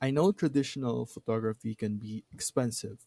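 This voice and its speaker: A man's medium-pitched voice at a fairly slow pace, dry and close with no echo. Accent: non-native. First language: not English. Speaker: tutorial creator. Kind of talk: tutorial. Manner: hesitant, many fillers.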